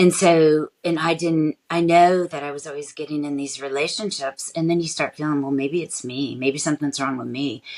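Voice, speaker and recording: A woman with an American accent speaks at a very deep, low pitch, her intonation fairly even. Her loudness rises and falls in big swings. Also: hardly any pauses. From California. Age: 50s. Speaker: life coach. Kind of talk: interview.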